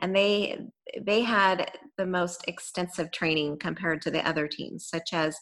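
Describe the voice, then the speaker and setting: A woman speaks in an unremarkable speaking voice with an American accent, fairly low in pitch. Her pace is fairly slow and her intonation fairly even. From California, Gilroy. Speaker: former search and rescue volunteer. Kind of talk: interview storytelling.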